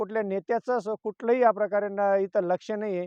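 Pitched high, a man's voice holds a fairly even intonation. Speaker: farmer. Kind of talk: interview testimony. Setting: outdoors in a field at night.

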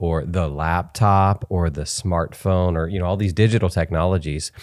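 Against a quiet background, a man speaks at a moderate pace. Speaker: podcast host. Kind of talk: casual interview. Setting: home studio. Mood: thoughtful, earnest. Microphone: studio mic.

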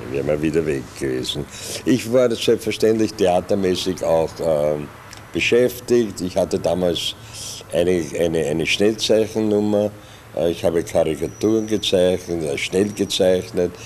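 A man speaks with a very deep, low pitch and lively intonation. He keeps a fairly slow pace over light background noise. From Vienna, Austria. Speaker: improv theatre actor, puppeteer. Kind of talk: oral history interview answer. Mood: calm reminiscing. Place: studio. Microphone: studio mic.

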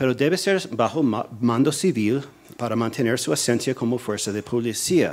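A man talks at a moderate pace and a medium pitch. His intonation is lively. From US, New Jersey. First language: English (speaking Spanish). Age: 40s. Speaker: policy analyst, think tank director; policy analyst. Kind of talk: lecture. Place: hall. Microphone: podium.

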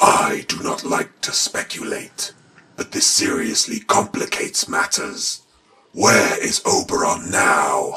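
Raspy and high in pitch, a man's voice proceeds at a fairly slow pace. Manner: formal, stern, authoritative.

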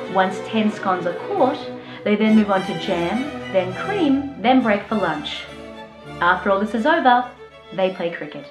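Against clear music in the background, a woman speaks with lively intonation and long, frequent pauses. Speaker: comedian. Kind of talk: comedic spoof explainer to camera. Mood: dry mock-serious humour. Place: home room.

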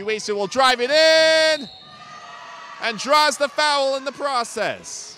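An excited, energetic man in a raised, projected voice, dry sound with no echo, light background noise. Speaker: sports play-by-play commentator. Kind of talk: live basketball play-by-play commentary. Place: hall.

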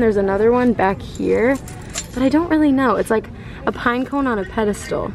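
Faint music plays in the background as a woman speaks at a moderate pace in a high pitch, with ordinary pitch variation. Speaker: vlogger. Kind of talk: casual vlog chat. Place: shop.

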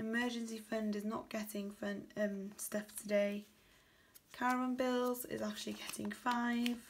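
A woman with a British accent speaks at a fairly high pitch and a fairly slow pace, her intonation monotone and flat, over light background noise. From UK. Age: 20s. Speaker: budgeting vlogger. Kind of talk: casual tutorial, counting cash. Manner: low energy. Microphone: phone near.

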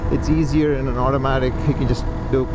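Over loud background noise, a man talks at a fairly quick pace with a dry sound and no echo. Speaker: motovlogger rider. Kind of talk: casual vlog chat. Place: motorbike. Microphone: helmet.

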